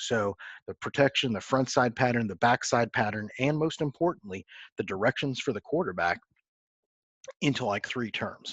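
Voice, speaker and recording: This is an ordinary speaking voice. The sound is dry and close with no echo, over a quiet background. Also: man. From Texas. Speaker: football coach. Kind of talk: coaching clinic presentation.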